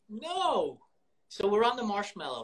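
Speaking fairly slowly with an American accent, a man lets his pitch swing very widely. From New York. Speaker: podcast host. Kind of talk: casual chat. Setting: Instagram live video call.

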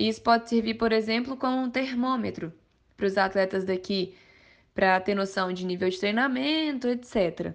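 In an ordinary speaking voice, a woman talks at a moderate pace with ordinary pitch variation against a quiet background. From Minas Gerais, Brazil (Mariana). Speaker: amateur mountain bike racer. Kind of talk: podcast interview.

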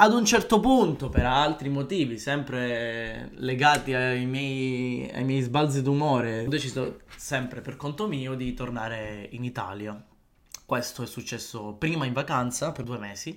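With a normal speaking voice, a man talks at a fairly slow pace and a medium pitch. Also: ordinary pitch variation. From Palermo, Sicily. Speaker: podcaster. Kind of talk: solo podcast monologue.

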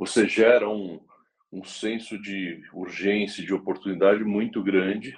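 A man speaks fairly slowly in a plain, everyday voice, fairly low in pitch, with big swings in loudness. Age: 40s. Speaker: motorsport executive. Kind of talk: interview.

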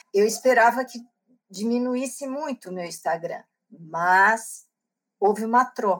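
A fairly high-pitched woman speaks fairly slowly, with long, frequent pauses and big swings in loudness. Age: 60s. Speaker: book club organizer and author. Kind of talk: interview.

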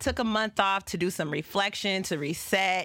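On a very clean recording with a silent background, a woman speaks in an animated tone. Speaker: podcast and radio host. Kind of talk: casual chat. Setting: studio.

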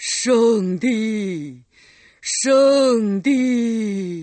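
A put-on character voice, shouting at a fairly high pitch. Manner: terrifying, booming shout.

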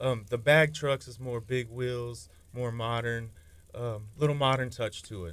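A man with a Texan accent, a fairly slow pace, fairly even intonation and big swings in loudness. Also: medium pitch for a man. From Texas. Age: 30s. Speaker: custom car fabricator. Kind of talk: casual radio interview.

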